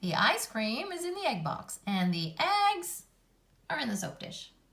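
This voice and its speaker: A female-sounding speaker uses a put-on character voice, pitched fairly high and delivered at a moderate pace. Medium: read story. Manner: cheerful, giggly.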